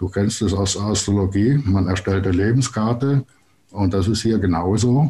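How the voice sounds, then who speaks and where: With ordinary pitch variation, a man speaks in a dark, mellow tone that is somewhat breathy. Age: 60s. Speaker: planetary code consultant. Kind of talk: interview.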